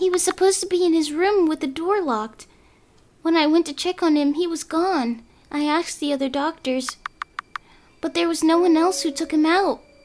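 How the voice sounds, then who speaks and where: In a put-on character voice, a female-sounding speaker talks at a moderate pace in an extremely high pitch with an anxious tone. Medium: game stream.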